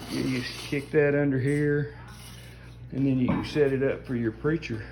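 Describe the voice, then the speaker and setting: A man's medium-pitched, monotone, flat delivery with audible room echo. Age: 60s. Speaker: hobbyist showing his home gym. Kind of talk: casual show-and-tell. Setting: home gym. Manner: casual, halting with fillers.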